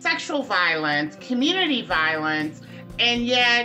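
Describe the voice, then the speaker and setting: A woman speaks. Faint music plays in the background. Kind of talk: direct-to-camera advocacy talk. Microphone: phone near.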